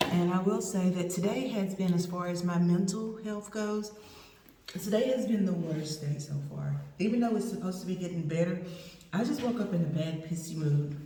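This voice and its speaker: A woman's medium-pitched voice with an East Texas accent, ordinary pitch variation and a moderate pace, amid noticeable background noise and audible room echo. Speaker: vlogger. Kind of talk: casual vlog update.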